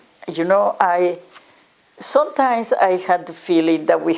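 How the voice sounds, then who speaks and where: With a Spanish accent, a woman talks at a moderate pace with very wide pitch swings. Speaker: educator and nonprofit director. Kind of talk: interview monologue.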